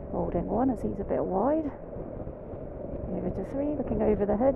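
Long, frequent pauses in a dry sound with no echo, over loud background noise. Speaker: motorcycle instructor. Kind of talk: live riding commentary. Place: motorbike. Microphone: helmet.

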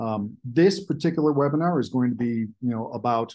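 This man speaks at a moderate pace in a dark, mellow tone with ordinary pitch variation. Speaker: presenter. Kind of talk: webinar presentation. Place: home room. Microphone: webcam.

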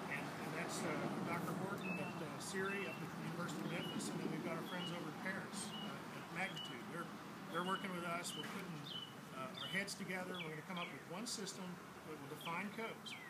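A man races through his words at a very fast pace while loud background noise plays. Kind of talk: public briefing talk. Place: waterside. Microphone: camera far.

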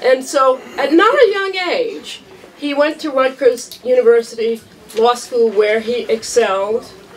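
A woman with a high pitch speaks at a fairly slow pace in an animated tone with lively intonation over light background noise. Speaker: law professor. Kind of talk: tribute speech. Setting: event hall with audience. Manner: animated, humorous. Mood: warm, commemorative. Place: hall. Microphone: handheld.

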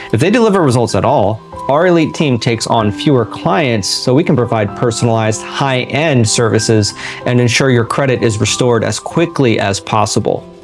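Clear background music under a man's fairly quick delivery. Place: home room.

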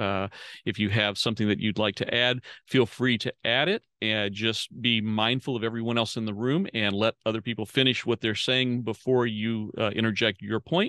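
The sound is dry with no echo as a man speaks with fairly even intonation. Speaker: host, facilitator. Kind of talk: meeting introduction. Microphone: video call.

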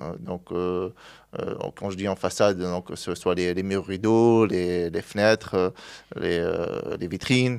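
Very slowly, a man speaks at a very deep, low pitch with ordinary pitch variation. The background is quiet. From Tunisia (Sfax); Tunisia. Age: 30s. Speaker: glass products distributor, entrepreneur; interview guest. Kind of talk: interview. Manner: halting, many hesitations. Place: studio. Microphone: studio mic.

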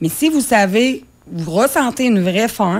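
An unremarkable speaking voice belongs to a woman with a fairly high pitch and lively intonation. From Quebec. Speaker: cookbook author and nutrition coach; nutrition coach. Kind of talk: interview. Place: studio.

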